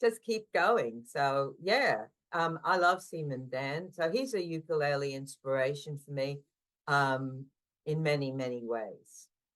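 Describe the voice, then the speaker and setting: Very deep, low female pitch, lively intonation and a fairly slow pace. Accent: Australian. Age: 60s. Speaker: ukulele player. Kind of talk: podcast interview.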